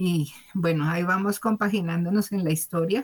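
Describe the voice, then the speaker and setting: Speaking at a moderate pace, a woman with a fairly low pitch sounds somewhat breathy, her intonation fairly even. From Bogotá, Colombia. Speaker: mechanical engineer and mother. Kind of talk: testimony. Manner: halting.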